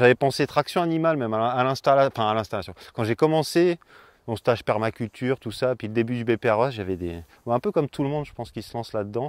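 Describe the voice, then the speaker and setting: A man at a very fast pace, medium in pitch, with lively intonation. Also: dry, close sound with no echo, very clean recording, silent background. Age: 30s. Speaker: organic market gardener. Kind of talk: interview. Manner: hesitant, many fillers.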